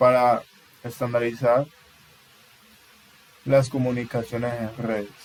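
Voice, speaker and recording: A man talks at a fairly slow pace in a monotone, flat intonation. He leaves long, frequent pauses. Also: medium pitch for a man. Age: 20s. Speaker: university student. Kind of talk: class presentation. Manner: halting.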